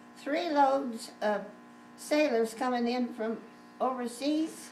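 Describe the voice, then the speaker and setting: A woman speaks very slowly in a high voice, with ordinary pitch variation. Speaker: grandmother. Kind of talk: family storytelling interview. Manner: hesitant, rambling.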